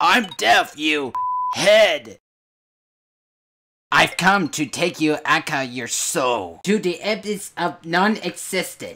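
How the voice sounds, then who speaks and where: In a put-on character voice at a middle pitch, the speaker goes at a very slow pace with long, frequent pauses while sound effects play in the background. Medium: audio drama. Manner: irritated, sarcastic.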